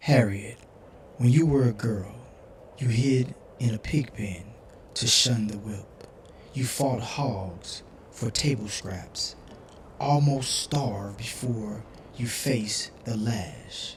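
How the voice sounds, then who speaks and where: A put-on character voice, low in pitch and very slow, broken by long, frequent pauses over clear background noise. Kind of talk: read-aloud picture book. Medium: read story. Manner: gentle, steady, reassuring.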